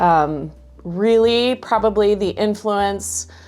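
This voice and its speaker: Music runs in the background while a woman talks very slowly. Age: 40s. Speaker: voice teacher. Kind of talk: interview. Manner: halting.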